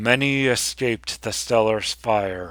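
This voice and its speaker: This man is doing a put-on character voice at a medium pitch. He speaks at a fairly slow pace. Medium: read story. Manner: grand, solemn, storytelling.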